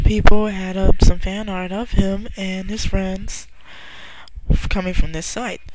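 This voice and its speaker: A soft-spoken woman with fairly even intonation, audible room echo and noticeable background noise. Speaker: online artist. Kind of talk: casual vlog monologue. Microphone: quiet, listeners told to raise volume.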